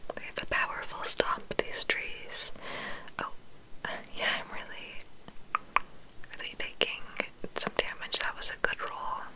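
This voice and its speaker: Whispering comes at a fairly slow pace with long, frequent pauses. Noticeable background noise runs underneath. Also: woman. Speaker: ASMR creator. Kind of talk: gameplay commentary in ASMR whisper. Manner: whispered, relaxing.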